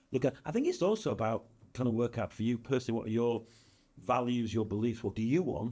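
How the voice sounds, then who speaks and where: Here a man talks at a very fast pace. His tone is dark and mellow. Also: medium pitch for a man, ordinary pitch variation. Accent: northern English. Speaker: business consultant and speaker. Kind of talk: podcast interview.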